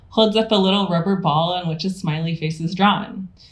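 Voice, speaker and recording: A fairly low-pitched woman speaks with ordinary pitch variation. Her voice carries audible room echo and noticeable background noise. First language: not English. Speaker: theorist and lecturer. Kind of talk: lecture.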